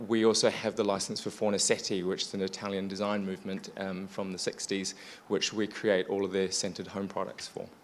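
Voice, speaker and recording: A man's fairly low voice with a New Zealand accent, at a moderate pace with hardly any pauses. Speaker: business owner, former lawyer. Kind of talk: panel discussion.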